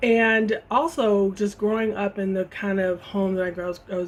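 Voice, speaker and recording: Speaking with an American accent, a woman keeps a medium pitch, fairly even intonation and a moderate pace. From Chicago area, US Midwest. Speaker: vlogger. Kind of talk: casual chat. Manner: halting.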